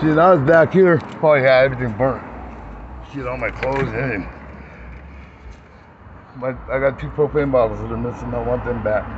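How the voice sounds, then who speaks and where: Noticeable background noise sits behind the speech. The pace is fairly quick, broken by long, frequent pauses. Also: man. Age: 60s. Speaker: RV owner, former motorcycle builder. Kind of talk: casual walkthrough talk to camera. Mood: upset, frustrated, informal. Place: street. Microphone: phone near.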